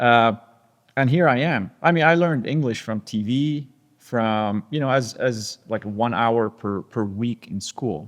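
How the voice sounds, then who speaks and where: A man speaks in a French accent. His pitch is medium. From Lebanon. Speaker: tech company CEO. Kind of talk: interview conversation. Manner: halting.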